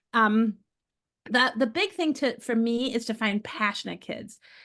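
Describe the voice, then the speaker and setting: A woman speaks in a fairly high pitch with an American accent. The background is quiet. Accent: clearly American. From United States. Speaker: market researcher. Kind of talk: webinar presentation. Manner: casual, many fillers.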